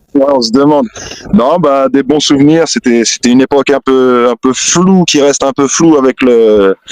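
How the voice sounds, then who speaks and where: Dry and close with no echo, the recording features a man at medium pitch. He speaks at a fairly slow pace. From Essonne, France. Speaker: rapper. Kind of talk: interview answer. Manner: casual, hesitant.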